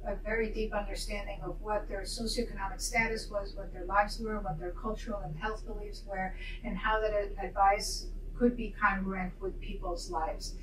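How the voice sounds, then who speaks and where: A woman in a Spanish accent at a moderate pace, with audible room echo and noticeable background noise. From Argentina, Buenos Aires. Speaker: pediatrician. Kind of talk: testimony.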